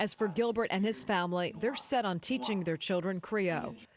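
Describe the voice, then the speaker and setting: With a plain, everyday voice, a woman talks at a fairly quick pace with lively intonation and a medium pitch. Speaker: TV news anchor / reporter. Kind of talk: TV news report narration.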